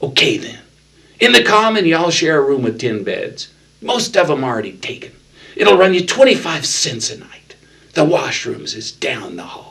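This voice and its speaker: Putting on a whiny character voice, a man speaks at a high pitch and a moderate pace with big swings in loudness. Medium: read story. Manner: slow, mocking, condescending.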